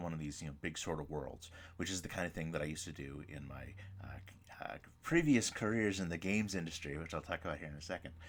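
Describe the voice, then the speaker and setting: A man with a very deep, low pitch speaks at a fairly quick pace with ordinary pitch variation, and audible room echo surrounds his voice. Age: 40s. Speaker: professor. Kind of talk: lecture. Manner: fast.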